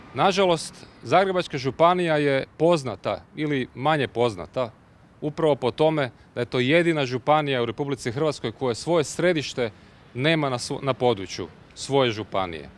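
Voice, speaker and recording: A man speaks at a moderate pace with a dry sound and no echo. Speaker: candidate. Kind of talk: press statement. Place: street. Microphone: handheld.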